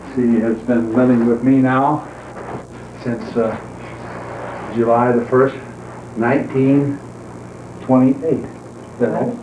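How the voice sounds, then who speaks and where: The speech is very slow and monotone, with flat intonation and long, frequent pauses, set against audible room echo and noticeable background noise. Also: man, medium pitch for a man. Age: 70s. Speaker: retired accountant narrating home movies. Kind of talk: casual chat. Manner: halting.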